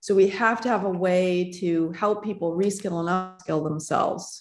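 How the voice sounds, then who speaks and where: Fairly slow speech over music in the background. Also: woman. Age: 50s. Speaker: tech founder and author. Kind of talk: interview.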